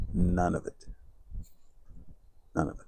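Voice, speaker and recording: The voice belongs to a man and has a dark, mellow tone. Its pitch varies in an ordinary way. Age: 60s. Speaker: entrepreneur and personal growth YouTuber. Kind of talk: motivational talk to camera. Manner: halting, with frequent repetitions.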